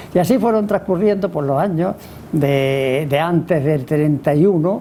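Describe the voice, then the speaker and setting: A man speaks at a moderate pace, his pitch varying in an ordinary way, while noticeable background noise sits underneath. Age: 90s. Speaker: author. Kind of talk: book presentation talk. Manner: halting, with many repetitions and fillers.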